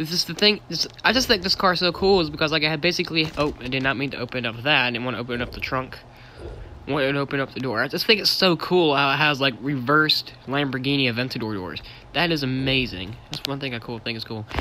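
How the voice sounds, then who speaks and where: Spoken at a very fast pace with ordinary pitch variation, the clip carries noticeable background noise. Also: man, fairly high pitch for a man. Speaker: gaming streamer. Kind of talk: live stream game walkthrough. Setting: screen-recorded live stream. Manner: casual, filler-heavy.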